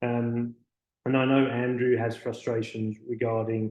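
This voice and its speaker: At a moderate pace, the speaker talks with a British accent and a dark, mellow tone. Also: man. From United Kingdom. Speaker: physiotherapist. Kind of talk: webinar presentation. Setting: online webinar. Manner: halting, with frequent fillers.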